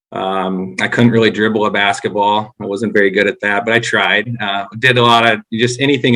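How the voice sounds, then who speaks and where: A man with a North Dakota accent talks at a moderate pace with hardly any pauses, his pitch fairly low and his intonation fairly even. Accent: Upper Midwest (North Dakota). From North Dakota, Grand Forks. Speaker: former baseball coach. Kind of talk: podcast interview.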